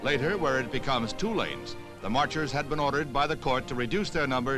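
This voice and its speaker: Music plays in the background as a man speaks at a fairly quick pace. His pitch is medium and his tone serious. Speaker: newsreel narrator. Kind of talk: newsreel narration. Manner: serious, measured.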